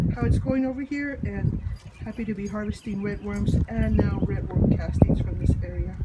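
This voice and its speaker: The speech moves at a moderate pace. Loud background noise runs underneath. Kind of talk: casual vlog chat. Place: garden. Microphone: phone near.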